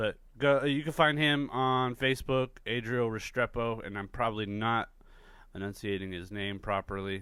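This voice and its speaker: A man speaks at a medium pitch with ordinary pitch variation. His pace is moderate. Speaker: podcast host; artist. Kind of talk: podcast intro monologue. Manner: loud; casual, rambling with fillers.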